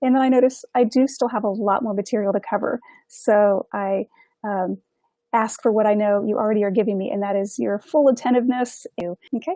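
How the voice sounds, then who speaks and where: Her voice sits fairly high, with ordinary pitch variation, as the woman speaks at a fairly quick pace. The sound is dry and close, with no echo. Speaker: yoga teacher trainer for nurses. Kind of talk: online training lecture. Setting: online course session. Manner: fast.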